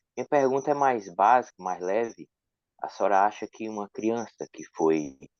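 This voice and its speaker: With a northeastern Brazilian accent, a man talks at a moderate pace in a fairly low voice with lively intonation. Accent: northeastern Brazilian (Ceará). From Ceará, northeast Brazil. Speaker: audience participant. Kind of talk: asking a question.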